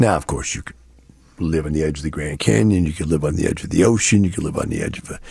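Talking at a very fast pace, a man with an American accent has a somewhat breathy, dark, mellow tone and lively intonation. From US Texas. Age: 60s. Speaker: radio host. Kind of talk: solo radio talk show monologue.

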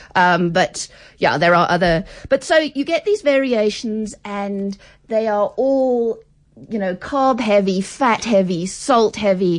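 Someone speaks very slowly with an English accent and lively intonation. The background is quiet. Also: woman, fairly high pitch for a woman. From England. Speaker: food anthropologist. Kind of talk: radio interview. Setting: radio studio.

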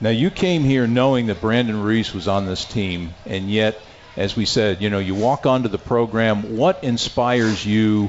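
A man's fairly low voice at a moderate pace, ordinary pitch variation, noticeable background noise. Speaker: radio play-by-play announcer and show host. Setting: live restaurant broadcast. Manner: smooth, upbeat, brisk and rhythmic; broadcast-polished.

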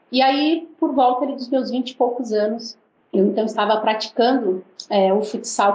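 A woman with a normal speaking voice talks at a fairly slow pace, her fairly high pitch showing ordinary variation. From Brazil. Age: 40s. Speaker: missionary and former footballer. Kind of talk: interview.

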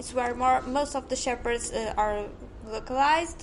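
Over noticeable background noise, a woman with a Portuguese accent speaks with ordinary pitch variation. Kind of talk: casual interview. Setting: retail outlet. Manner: halting.

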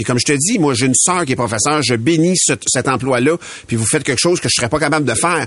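A man speaks very fast at a fairly high pitch, with ordinary pitch variation and very even loudness. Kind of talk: casual morning radio chat.

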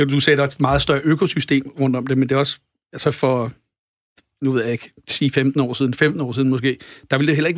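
A man's fairly high voice at a very fast pace, broken by long, frequent pauses, dry and close with no echo. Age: 40s. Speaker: record label owner and drummer. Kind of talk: casual chat. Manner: halting.

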